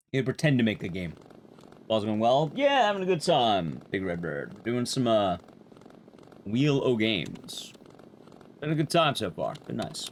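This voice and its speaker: The loud voice moves at a moderate pace, with very wide pitch swings and long, frequent pauses. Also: man, medium pitch for a man. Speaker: speedrun streamer. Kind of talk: live gameplay streaming chat. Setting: live stream. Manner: gets louder the longer he talks.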